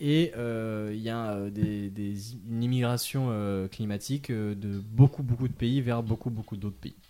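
A man with a medium pitch and a dark, mellow tone speaks at a very slow pace. He keeps his intonation fairly even and leaves hardly any pauses. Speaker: podcast host. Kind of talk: casual chat.

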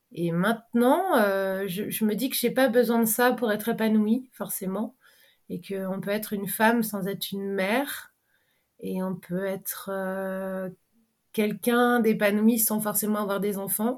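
The recording is very clean with a silent background. A woman at a medium pitch speaks fairly slowly with fairly even intonation. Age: 30s. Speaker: sailing boat captain. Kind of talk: interview. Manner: halting.

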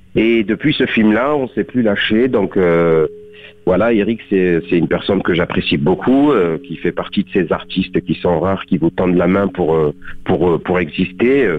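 A man with a very deep, low pitch and ordinary pitch variation talks at a fairly slow pace. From southern France, Beaucaire. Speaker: actor. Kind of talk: radio interview. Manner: halting, many fillers.

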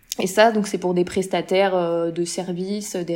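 A woman speaks at a fairly slow pace in a fairly low pitch, her intonation monotone and flat. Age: 30s. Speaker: social media manager. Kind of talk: interview.

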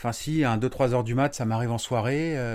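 The recording is very clean, with a silent background. A man speaks at medium pitch and a moderate pace with ordinary pitch variation. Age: 40s. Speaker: building contractor. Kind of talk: interview. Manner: halting.

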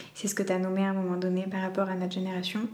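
A woman speaks at medium pitch. Audible room echo surrounds her voice. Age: 20s. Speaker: doula and foot reflexologist. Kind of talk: interview conversation. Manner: hesitant, many fillers.

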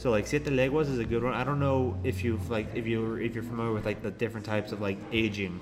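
A man with an American accent at a very fast pace, hardly any pauses, and audible room echo. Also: medium pitch for a man. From California, San Francisco. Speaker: traveler. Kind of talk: casual chat. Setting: hostel. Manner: animated.

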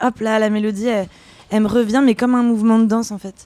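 This woman's fairly high voice has a dark, mellow tone and a monotone, flat intonation. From France. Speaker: singer and contemporary dancer. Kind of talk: casual interview. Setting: Paris café.

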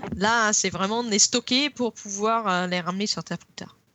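A woman with an English accent at a medium pitch. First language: English (speaking French). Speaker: geologist. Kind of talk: casual chat. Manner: halting.

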